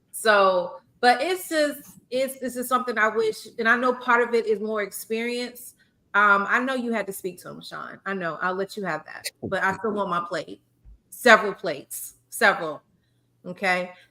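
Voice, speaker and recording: A woman with a South Carolina accent speaks at a moderate pace in a fairly high pitch, her intonation lively and her loudness swinging widely. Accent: Southern US (South Carolina). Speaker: podcast host, former teacher. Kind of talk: casual chat. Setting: live stream podcast.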